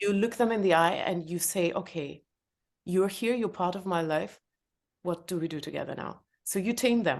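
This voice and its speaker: Against a quiet background, a woman speaks with a non-native accent. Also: medium pitch for a woman, ordinary pitch variation, moderate pace. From former Soviet Union. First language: not English (third language). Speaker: entrepreneur and author. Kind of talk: podcast interview. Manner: hesitant, many fillers.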